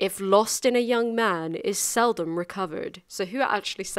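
The clip is plain reading aloud. Its pitch rises and falls in an ordinary way.

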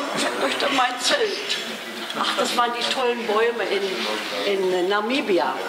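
A woman talks at a very slow pace against loud background noise. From Berlin. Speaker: rally driver. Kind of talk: interview answer. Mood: enthusiastic, nostalgic. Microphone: handheld.

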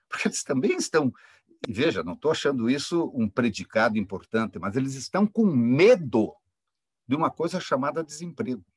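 The sound is dry with no echo, against a quiet background. A man speaks at a moderate pace with a fairly high pitch and very wide pitch swings. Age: 60s. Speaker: engineering professor. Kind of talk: academic panel talk. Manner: impassioned. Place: home room. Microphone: webcam.

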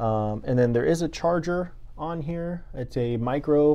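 A man talks with ordinary pitch variation and a dark, mellow tone. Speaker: real estate agent reviewing a microphone. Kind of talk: product review. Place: office. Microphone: lapel.

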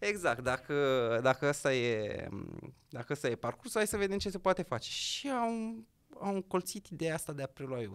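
A man talks at a moderate pace with a fairly high pitch. His pitch swings very widely against a quiet background. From Romania, Gorj county; Romania. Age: young. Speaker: entrepreneur and local politician; guest. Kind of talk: interview. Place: studio. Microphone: studio mic.

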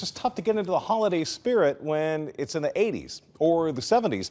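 A man with an American accent and a high pitch, making very wide pitch swings. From Southern California. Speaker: TV meteorologist. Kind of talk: TV weather forecast. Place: studio.

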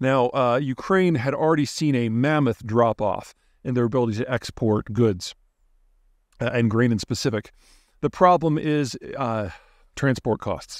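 A man at a moderate pace, dry sound with no echo, quiet background, ordinary pitch variation. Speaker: geopolitics commentator. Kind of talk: commentary. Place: forest. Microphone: phone near.

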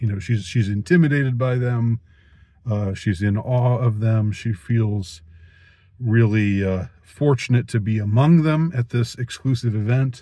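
The man's voice has a dark, mellow tone and is somewhat breathy, with ordinary pitch variation. The sound is dry with no echo, over a quiet background. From United States. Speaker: youtuber, film reviewer. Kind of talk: monologue film review. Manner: halting, many fillers and repetitions. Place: car. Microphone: phone near.

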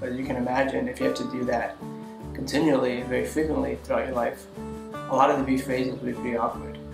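Noticeable noise sits in the background. Over it, a man speaks at a fairly quick pace. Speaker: video blogger. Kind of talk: casual talk to camera. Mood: earnest, reflective. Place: home room.

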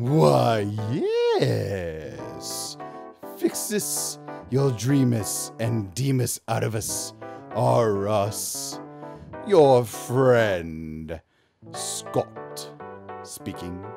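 A man's cartoonish character voice, fairly low and very slow, with very wide pitch swings and faint music in the background. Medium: puppet show. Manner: oily, formal, ominous.

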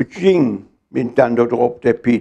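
In a Rhineland accent, a dark, mellow voice moves very slowly with lively intonation against a quiet background. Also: man. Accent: Mettmann local dialect. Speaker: dialect poetry reciter. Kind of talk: poetry reading. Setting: live reading in a hall. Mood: humorous storytelling. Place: home room. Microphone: lapel.

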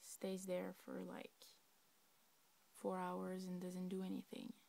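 A woman with a Quebec accent speaks at a very slow pace. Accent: Québec French. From Québec. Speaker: laptop owner asking for help. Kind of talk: casual talk to camera. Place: home room. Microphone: phone near.

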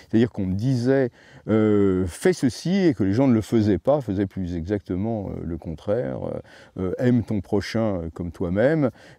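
Over a quiet background, a man with a dark, mellow tone and fairly low pitch talks at a fairly slow pace with lively intonation, in a dry sound with no echo. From Paris, France. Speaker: ethnobotanist and author; interviewee. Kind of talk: interview. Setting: at his home. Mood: reflective, earnest. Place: garden.

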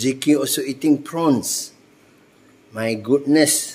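A man speaks slowly at a medium pitch with ordinary variation. His tone is slightly mellow, and room echo is audible.

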